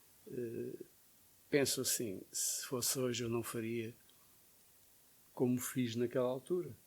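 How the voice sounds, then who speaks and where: A man talks with fairly even intonation. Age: 70s. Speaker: photojournalist. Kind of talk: interview.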